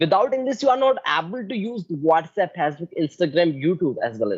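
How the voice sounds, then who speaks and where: The speaker has an Indian accent. The pace is fairly quick. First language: Hindi. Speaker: English learner, channel host. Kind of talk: casual conversation. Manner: halting non-fluent English.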